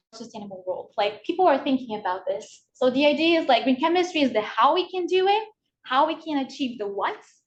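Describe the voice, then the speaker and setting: A woman speaks with very wide swings in pitch. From Brazil. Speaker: PhD student presenter. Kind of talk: workshop lecture. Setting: video call. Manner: fast.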